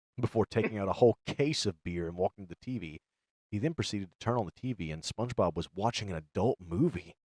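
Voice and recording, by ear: This is natural-voiced reading aloud. Nothing much stirs behind it.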